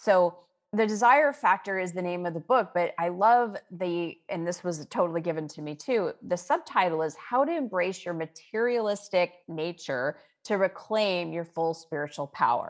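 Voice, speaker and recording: With lively intonation and a moderate pace, a woman uses a normal speaking voice at medium pitch. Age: 50s. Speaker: author and spiritual teacher. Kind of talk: interview.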